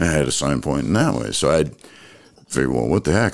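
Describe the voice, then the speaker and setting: Lively intonation carries this voice with an American accent. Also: man. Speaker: guest, agate photographer and former radio broadcaster. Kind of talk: casual interview.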